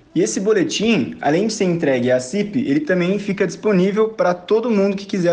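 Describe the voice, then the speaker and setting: Noticeable background noise around a man's high pitch and fairly quick pace. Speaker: economics student. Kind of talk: scripted presentation.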